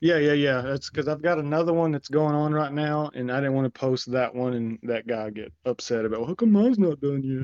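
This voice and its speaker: A man with a plain, everyday voice speaks at a fairly high pitch with ordinary pitch variation. He goes at a fairly quick pace with hardly any pauses. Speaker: former co-host interviewing. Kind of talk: casual interview. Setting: video call.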